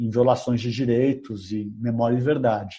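A man's somewhat breathy voice with a dark, mellow tone, at a moderate pace. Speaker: journalist and author. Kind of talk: interview.

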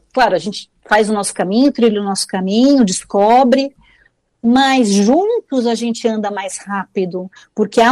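In a normal speaking voice, a woman talks at a fairly slow pace and fairly high pitch. Her intonation is lively, and the sound is dry and close with no echo. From Brazil, São Paulo. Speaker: oral storyteller and author. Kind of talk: interview.

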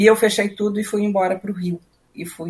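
Somewhat breathy female voice at a fairly quick pace. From southern Brazil, Rio Grande do Sul. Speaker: musician and music educator. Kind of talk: interview. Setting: video call.

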